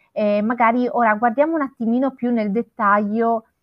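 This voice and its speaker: A woman uses a normal speaking voice at a moderate pace, with fairly high pitch and ordinary pitch variation. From Italy, Florence. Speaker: hospitality trainer, co-host. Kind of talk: live-streamed panel discussion.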